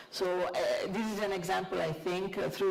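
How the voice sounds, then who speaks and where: Against noticeable background noise and audible room echo, a woman speaks with an Italian accent. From Italy. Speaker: panelist. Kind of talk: panel discussion. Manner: halting, many fillers.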